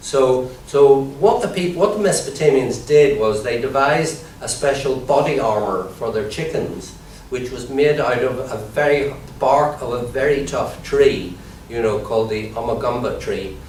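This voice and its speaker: There is noticeable background noise as a man talks at a moderate pace. His pitch sits fairly high. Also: ordinary pitch variation. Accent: Irish. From Ireland. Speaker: comedian and comedy trainer. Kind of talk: improvised mock lecture.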